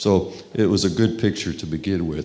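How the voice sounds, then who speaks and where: A man with a Texas accent speaks at a fairly low pitch. Audible room echo and noticeable background noise fill the recording. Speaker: sports scientist. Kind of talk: conference talk.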